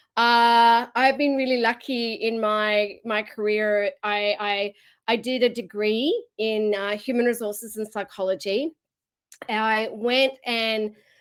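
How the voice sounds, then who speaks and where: A woman with an Australian accent speaks at a very slow pace and a fairly high pitch, with fairly even intonation. The recording is very clean, with a silent background. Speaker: keynote speaker. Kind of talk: keynote talk.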